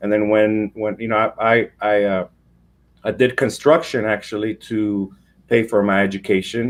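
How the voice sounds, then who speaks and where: Recorded very cleanly against a silent background, a man with an ordinary speaking voice talks at a fairly low pitch with fairly even intonation. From Mexico, moved to US as a child. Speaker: business founder and CEO. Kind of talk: interview.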